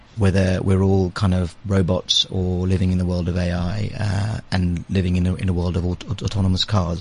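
Somewhat breathy speech comes at a moderate tempo. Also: man. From London, England. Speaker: advertising agency managing director. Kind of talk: casual interview. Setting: studio.

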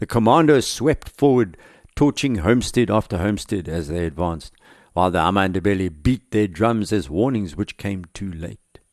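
A man's fairly low voice at a moderate pace, with lively intonation over a quiet background. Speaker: podcast historian narrator. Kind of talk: history documentary narration, scripted storytelling. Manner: steady, measured, dramatic storytelling pace; conversational, wry asides.

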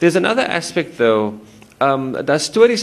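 Noticeable background noise runs through the clip. A man speaks at a fairly high pitch. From South Africa, Cape Town. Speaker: novelist and psychology professor. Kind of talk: literary interview at a public event. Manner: halting, many fillers.

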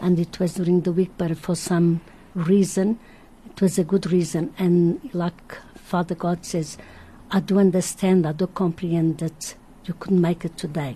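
A woman speaks with a Portuguese accent at a moderate pace. Her somewhat breathy, fairly low voice has a dark, mellow tone and fairly even intonation. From Madeira, Portugal. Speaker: religious visionary. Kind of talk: radio interview, testimony. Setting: radio studio.

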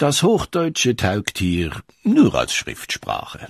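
A man speaking very slowly, the sound dry and close with no echo. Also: quiet background. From Switzerland. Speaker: documentary narrator. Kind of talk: scripted narration.

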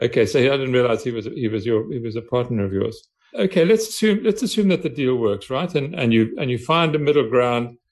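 A man speaks at a fairly quick pace with lively intonation. His medium-pitched voice is somewhat breathy. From South Africa. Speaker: podcast host, business journalist. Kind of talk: interview.

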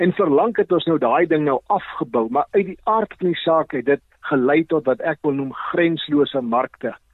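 Using an ordinary speaking voice, a man talks fairly high in pitch, with ordinary pitch variation. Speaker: agricultural economist. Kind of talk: radio interview.

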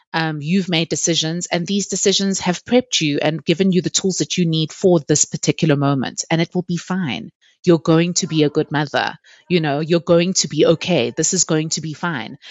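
In a plain, everyday voice, a woman speaks fairly quickly with fairly low pitch and ordinary pitch variation. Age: 30s. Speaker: podcast guest, mother. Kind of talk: casual interview, personal storytelling. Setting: at home, study, remote call.

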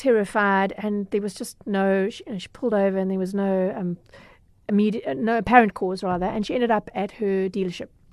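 Over a quiet background, a woman with a Durban accent talks at a fairly quick pace, at a medium pitch and with fairly even intonation. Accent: South African, Durban. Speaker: consumer journalist. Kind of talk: casual interview.

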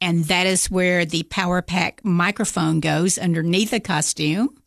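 Against a quiet background, a woman talks at a medium pitch with fairly even intonation. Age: 60s. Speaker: seamstress and theater costumer. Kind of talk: casual interview. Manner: hesitant with fillers.

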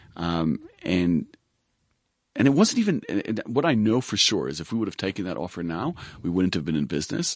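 A man's very deep, low voice with lively intonation, a fairly quick pace and long, frequent pauses. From Israel. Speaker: recruitment business founder. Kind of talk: interview. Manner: hesitant, many fillers.

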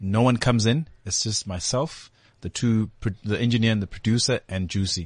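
A somewhat breathy voice with a South African accent speaks at a moderate pace. The sound is dry and close with no echo, over a quiet background. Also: man, medium pitch for a man, ordinary pitch variation. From South Africa, Durban (KwaMashu). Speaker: musician. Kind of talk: casual interview chat. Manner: repeats words often.

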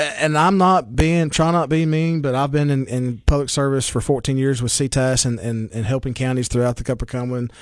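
A man in a Southern US accent, fairly quick with hardly any pauses and ordinary pitch variation. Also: medium pitch for a man. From Baxter, Tennessee. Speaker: radio host. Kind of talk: radio interview. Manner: chatty, friendly.

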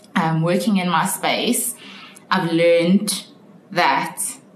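Audible room echo and noticeable background noise surround a woman whose voice sits at a fairly low pitch. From South Africa, Johannesburg. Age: 20s. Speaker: marketing consultant. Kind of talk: casual interview.

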